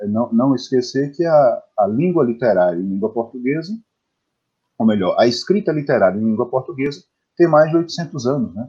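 Very wide pitch swings from a man at a medium pitch and a fairly slow pace. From Bahia, Brazil (Bom Jesus da Lapa, interior). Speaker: poet and translator. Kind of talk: interview. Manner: halting, many repetitions.

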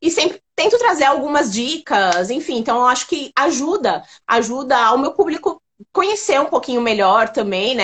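Very wide pitch swings at a moderate pace. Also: woman. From São Paulo, Brazil. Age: 30s. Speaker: online makeup store founder. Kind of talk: interview on a live stream. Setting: online live stream.

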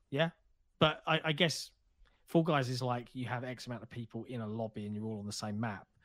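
In a very clean recording with a silent background, a speaker with a British accent talks at a fairly quick pace with ordinary pitch variation. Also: man. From Britain. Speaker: video game podcast co-host. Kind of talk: casual chat.

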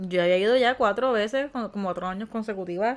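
At a fairly quick pace, a woman talks in a normal speaking voice with a medium pitch and ordinary pitch variation. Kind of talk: casual chat.

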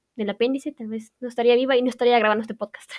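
In a Guatemalan accent, a woman talks with a high pitch. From Guatemala, Quetzaltenango. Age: young. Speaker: university student. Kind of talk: personal monologue.

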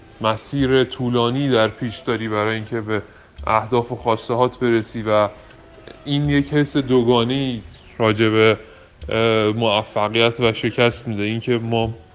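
A man's medium-pitched voice at a moderate pace, fairly even in intonation, with long, frequent pauses and music in the background. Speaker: startup co-founder. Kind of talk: interview.

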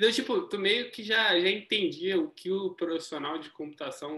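With lively intonation, a man at a high pitch talks at a moderate pace. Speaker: podcast host, software engineer. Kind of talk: interview. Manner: casual, slangy.

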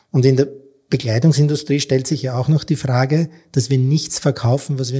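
The recording is very clean, with a silent background. The voice is somewhat breathy, with a dark, mellow tone. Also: man. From Austria. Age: 50s. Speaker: textile entrepreneur. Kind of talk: interview.

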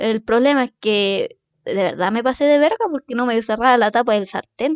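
A woman with a Chilean accent, fairly high in pitch with ordinary pitch variation, at a moderate pace, in a dry, close sound with no echo and a quiet background. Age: 20s. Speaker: podcast host. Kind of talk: casual monologue. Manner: animated.

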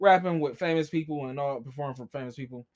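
On a very clean recording with a silent background, a man with an American accent and an unremarkable speaking voice uses a fairly high pitch with ordinary pitch variation. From Columbus, Ohio, US Midwest. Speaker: DJ and entertainment business owner. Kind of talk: casual chat.

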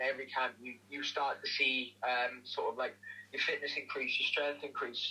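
Noticeable background noise sits behind the voice. The talking moves fairly quickly. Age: 20s. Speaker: MMA fighter. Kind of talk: casual interview. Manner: hesitant, many fillers.

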